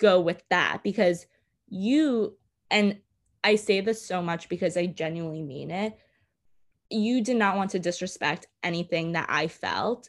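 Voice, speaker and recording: A woman speaks at a medium pitch and a fairly slow pace with ordinary pitch variation and long, frequent pauses, in a very clean recording with a silent background. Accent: American. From New York City, Brooklyn. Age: 20s. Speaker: podcast guest, host's sister. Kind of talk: casual chat.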